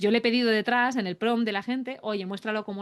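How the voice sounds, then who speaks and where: Over a quiet background, a woman speaks in an animated tone at a fairly high pitch with ordinary pitch variation. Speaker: AI productivity expert. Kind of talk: webinar demo tutorial. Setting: online webinar. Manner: fast.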